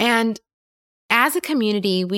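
With an American accent, a woman talks in an animated tone and lively intonation, recorded very cleanly against a silent background. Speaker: podcast host and leadership coach. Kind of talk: solo podcast monologue.

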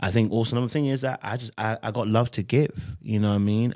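Very fast and fairly even in intonation, a man with a London accent speaks in a very clean recording with a silent background. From London, England. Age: 30s. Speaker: podcast guest. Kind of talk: casual chat.

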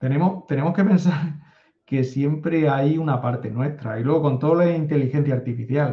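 With pitch that moves in a normal way, a man's fairly high voice proceeds at an unhurried yet not slow rate. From Spain. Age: 50s. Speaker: data analytics consultant. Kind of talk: interview conversation.

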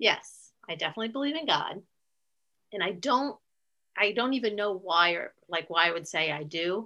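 A woman with a Midwestern American accent speaks at a moderate pace and a medium pitch. Her intonation is lively, with long, frequent pauses. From US Midwest (northeast Ohio). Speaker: aunt of the host, grandmother. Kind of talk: interview.

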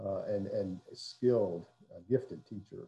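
A somewhat breathy man's voice with a dark, mellow tone, fairly even intonation and a Southern US accent. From US South, south Mississippi (Hattiesburg). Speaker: pastor. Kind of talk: casual interview.

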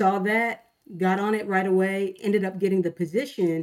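At a moderate pace, a woman speaks with a medium pitch, a dark, mellow tone, and fairly even intonation. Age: 30s. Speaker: tech sales worker and songwriter. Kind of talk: interview testimony.

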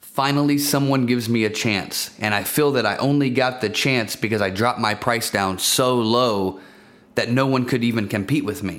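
With a plain, everyday voice, a man speaks at medium pitch and a moderate pace with ordinary pitch variation. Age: 20s. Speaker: business owner and investor. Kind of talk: personal story monologue.

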